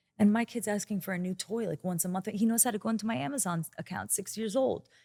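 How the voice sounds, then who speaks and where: A woman with a somewhat breathy, medium-pitched voice talks at a fairly quick pace with ordinary pitch variation. The recording is very clean, with a silent background and a dry, close sound with no echo. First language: Hebrew. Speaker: podcast guest, speaker. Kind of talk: casual interview chat.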